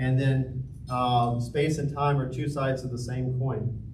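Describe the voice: Amid audible room echo, a man speaks with fairly even intonation.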